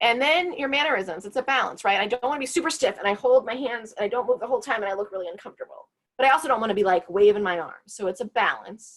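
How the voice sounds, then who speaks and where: Lively intonation rides on speech delivered at a very fast pace. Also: woman, fairly high pitch for a woman, hardly any pauses. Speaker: career advisor. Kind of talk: workshop presentation.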